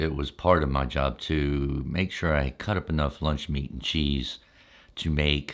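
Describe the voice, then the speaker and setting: A man's very deep, low voice with vocal fry at a fairly slow pace. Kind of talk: ASMR storytelling.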